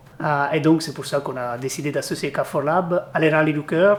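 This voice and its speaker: A man is speaking. He has an Italian accent. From Italy. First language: Italian (speaking French). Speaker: company executive, charity sponsor. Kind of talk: interview. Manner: halting, many hesitations.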